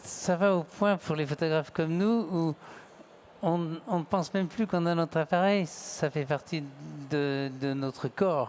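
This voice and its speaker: High pitch for a man, fairly slow delivery, pitch varying in the usual way. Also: very even loudness. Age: 70s. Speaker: photographer. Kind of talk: panel talk.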